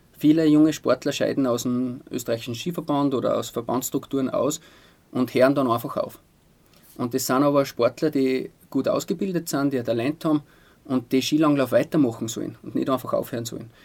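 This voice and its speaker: Fairly quick and fairly even in intonation, a man talks at a fairly high pitch. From Austria, Styrian Salzkammergut (Altaussee). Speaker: sports physician. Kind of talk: interview. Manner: hesitant, many fillers.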